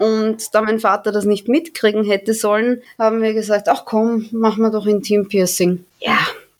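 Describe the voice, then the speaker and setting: An unremarkable speaking voice from a woman, moderately paced and fairly high in pitch. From Austria, Vienna. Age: 20s. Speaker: amateur adult performer. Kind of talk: interview.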